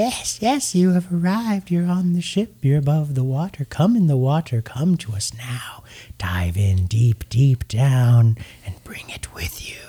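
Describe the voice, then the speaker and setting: Putting on a character voice, a man speaks at a fairly high pitch with very wide pitch swings and big swings in loudness. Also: moderate pace. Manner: beckoning, eerie.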